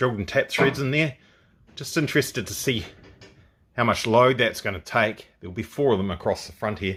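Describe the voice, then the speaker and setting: A man speaks with a New Zealand accent at medium pitch and a fairly quick pace, with ordinary pitch variation. The recording is very clean with a silent background, and his loudness swings widely. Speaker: car builder, video creator. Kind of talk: workshop tutorial vlog.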